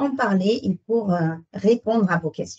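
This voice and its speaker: A somewhat breathy woman's voice at a very slow pace. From Netherlands. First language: Dutch (speaking French). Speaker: sales consultant. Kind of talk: webinar presentation. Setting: online webinar.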